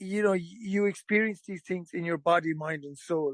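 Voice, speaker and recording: This man has a high pitch and an Irish accent. His intonation is fairly even, and the sound is dry and close with no echo. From Ireland. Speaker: storyteller, musician, actor. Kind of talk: podcast interview answer. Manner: casual, conversational.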